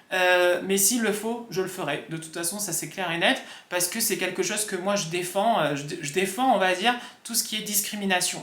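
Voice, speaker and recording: Audible room echo surrounds a man who talks at a moderate pace with a high pitch and ordinary pitch variation. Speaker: vlogger. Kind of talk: casual talk to camera. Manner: hesitant, many fillers.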